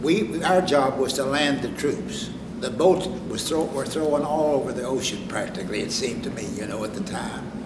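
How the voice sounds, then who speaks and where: Lively intonation marks this speech in an American accent at a moderate pace, with hardly any pauses. Audible room echo and noticeable background noise come through. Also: man, fairly high pitch for a man. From West Virginia. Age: 90s. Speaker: war veteran. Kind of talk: interview testimony. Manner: halting.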